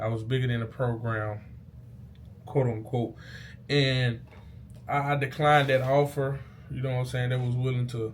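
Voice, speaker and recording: A somewhat breathy, animated man at medium pitch and moderate pace, with audible room echo. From Mississippi, US South. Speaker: YouTuber, former college football player. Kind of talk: casual vlog storytelling. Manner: casual, animated; stuttering, halting.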